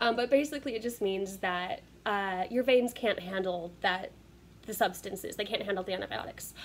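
At a fairly quick pace, a woman talks with ordinary pitch variation over light background noise. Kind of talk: casual vlog chat. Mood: cheerful, laughs at herself. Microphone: phone near.

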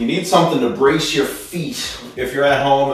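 A man speaks at a moderate pace in a room with strong echo while faint music plays in the background. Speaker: fitness instructor. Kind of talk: tutorial. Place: gym.

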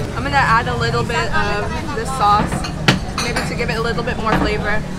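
Over loud background noise, a woman talks at a moderate pace. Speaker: food vlogger. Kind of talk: casual vlog chat. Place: cafe. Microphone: phone near.

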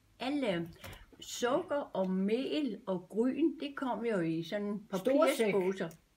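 Her pitch sits fairly high, and it swings across a very wide range. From Denmark. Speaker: grandmother recalling the past. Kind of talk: interview answer. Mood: warm, reminiscing. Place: home room. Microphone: camera far.

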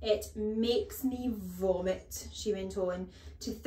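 The speaker has an unforced reading voice. Pitch varies in an ordinary way.

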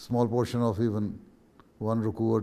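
A man's dark, mellow voice moves along at a fairly slow pace. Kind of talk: instruction in a video meeting. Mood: calm, measured, advisory. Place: studio.

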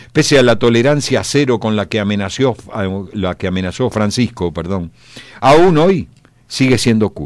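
The pitch swings very widely up and down. The pace stays moderate. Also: man, medium pitch for a man. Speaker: radio columnist. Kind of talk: opinion column. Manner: animated.

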